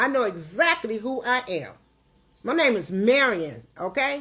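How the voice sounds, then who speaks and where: Her voice is high-pitched, with a bright, sharp tone, an animated tone and very wide pitch swings. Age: 60s. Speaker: livestream host, caterer. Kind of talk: livestream rant. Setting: at home.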